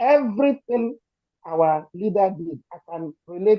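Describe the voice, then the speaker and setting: A woman with a Nigerian accent speaks at a fairly slow pace, her pitch swinging very widely. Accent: Nigerian Igbo English. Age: 70s. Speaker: activist supporter. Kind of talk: emotional testimony. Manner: shaky voice.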